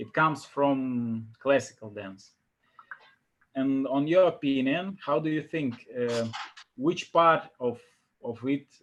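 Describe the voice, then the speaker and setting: A man with a Russian accent speaks at a very slow pace with long, frequent pauses. His pitch is fairly high with ordinary variation. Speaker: interviewer. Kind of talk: interview.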